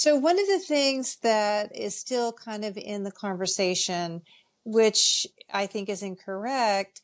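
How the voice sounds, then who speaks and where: A woman with a fairly high pitch, speaking at a very slow pace. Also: ordinary pitch variation. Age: 60s. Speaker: functional medicine nutritionist. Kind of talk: podcast interview. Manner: animated.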